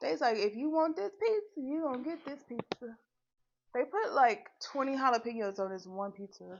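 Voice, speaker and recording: A woman's high voice at a moderate pace, with very wide pitch swings. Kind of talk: casual livestream talk to viewers while eating. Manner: normal speaking voice, not whispered.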